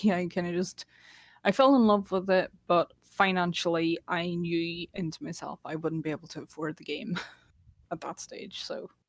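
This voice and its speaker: A woman with a Northern Irish accent speaks at a moderate pace with ordinary pitch variation and big swings in loudness, in a dry, close sound with no echo. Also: fairly low pitch for a woman. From Northern Ireland, Derry. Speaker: casual gamer. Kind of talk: casual chat.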